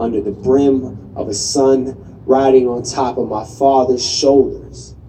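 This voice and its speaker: Noticeable background noise sits behind a man with an American accent. He speaks at a fairly slow pace and medium pitch, with fairly even intonation. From Southwestern US. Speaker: poet. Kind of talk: slam poetry performance.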